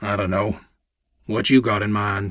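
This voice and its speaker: Using a raspy put-on character voice, a man speaks at a moderate pace with a fairly low pitch and monotone, flat intonation. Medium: read story.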